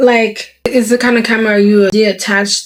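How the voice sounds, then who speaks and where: A woman with a non-native accent talks at a medium pitch. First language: not English. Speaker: vlogger. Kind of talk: casual vlog talk. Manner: animated; halting.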